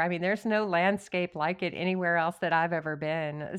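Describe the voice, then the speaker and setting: An ordinary speaking voice from a woman with an American accent, medium pitch, ordinary pitch variation and a moderate pace, over a quiet background. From West Texas (Odessa). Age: 50s. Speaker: novelist. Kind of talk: interview.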